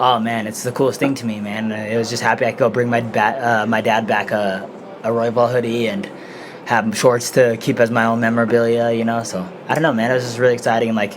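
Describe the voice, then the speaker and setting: Amid noticeable background noise, a man with an American accent and medium pitch speaks at a very fast pace with fairly even intonation. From Denver, Colorado. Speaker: mixed martial arts fighter. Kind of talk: casual interview. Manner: soft-spoken; quiet. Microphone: too quiet.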